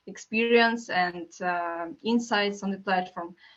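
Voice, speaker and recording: A woman speaks at a fairly slow pace with a non-native accent, her intonation fairly even. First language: not English. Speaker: marketing manager.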